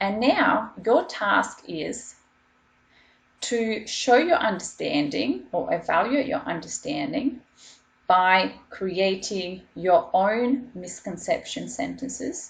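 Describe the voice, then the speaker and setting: With vocal fry and very wide pitch swings, a woman speaks at a very slow pace in a medium pitch. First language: not English. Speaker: school teacher. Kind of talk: online lesson.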